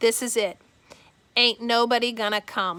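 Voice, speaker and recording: A woman's put-on character voice in a Southern US accent, raspy and fairly high, with fairly even intonation and a moderate pace. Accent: rural Southern dialect. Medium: read story. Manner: plainspoken, blunt.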